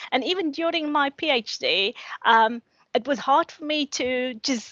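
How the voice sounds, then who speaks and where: Her voice high-pitched and her pace fairly slow, a woman speaks with ordinary pitch variation in a dry, close sound with no echo. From South Africa, Cape Town. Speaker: academic, social work lecturer. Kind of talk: panel discussion. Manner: halting, many repetitions.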